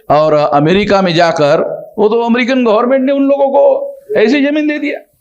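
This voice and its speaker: Audible room echo surrounds a man as he talks. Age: 60s. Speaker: social organization leader. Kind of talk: conversational interview. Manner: emphatic, repetitive.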